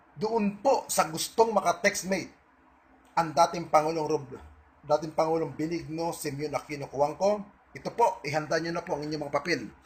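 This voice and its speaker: At a moderate pace and fairly high pitch, a man talks in an ordinary speaking voice, with ordinary pitch variation. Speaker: online video blogger. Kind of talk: monologue to online audience. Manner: defiant.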